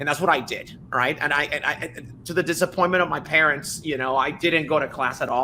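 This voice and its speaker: Noticeable background noise sits behind a man talking at a fairly quick pace with fairly even intonation. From Dominican Republic. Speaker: tech startup founder. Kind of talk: podcast interview. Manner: fast.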